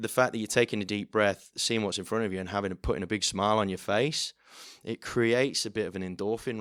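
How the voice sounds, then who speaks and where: On a very clean recording with a silent background, a man with a fairly low pitch talks at a very fast pace with fairly even intonation. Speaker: auctioneer. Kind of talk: podcast interview answer.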